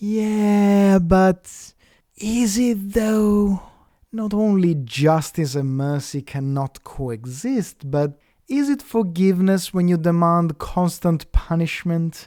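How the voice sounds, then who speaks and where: Spoken at a very slow pace with an Italian accent, the voice comes through on a very clean recording with a silent background. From Italy. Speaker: atheist commentator. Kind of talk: rebuttal commentary.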